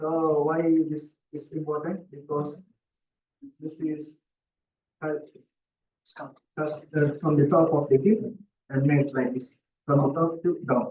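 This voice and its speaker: A man speaks slowly, with long, frequent pauses and fairly even intonation. His fairly high voice is somewhat breathy, with a dark, mellow tone. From South India, Kerala. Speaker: research scholar. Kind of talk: seminar talk. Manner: halting, with repetitions.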